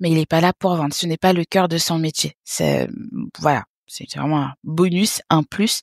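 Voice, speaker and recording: Recorded with a dry, close sound and no echo, a woman has an unremarkable speaking voice, fairly low in pitch, with fairly even intonation and a fairly slow pace. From French Guiana (born in Haiti). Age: 30s. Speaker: business developer and entrepreneur. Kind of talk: interview.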